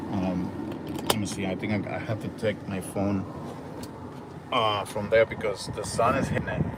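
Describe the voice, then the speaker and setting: A man with a Dominican accent speaks over noticeable background noise, with audible echo in the room. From Dominican Republic. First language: Spanish. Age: 50s. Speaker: travel vlogger. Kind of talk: casual vlog livestream. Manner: halting, many fillers.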